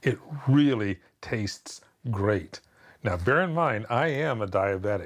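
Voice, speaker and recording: In a very clean recording with a silent background, a man talks in a fairly low, somewhat breathy voice. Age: 60s. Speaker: TV interviewer. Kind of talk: interview.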